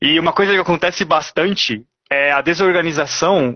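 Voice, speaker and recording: A man with a high pitch, moderate pace and ordinary pitch variation. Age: 30s. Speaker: paid traffic specialist. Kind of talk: interview on a live stream.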